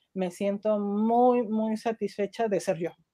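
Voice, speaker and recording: A woman speaks at a very slow pace, her medium-pitched voice dark and mellow in tone. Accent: Mexican. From Mexico. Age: 40s. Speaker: nutritionist. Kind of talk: interview. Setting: live stream.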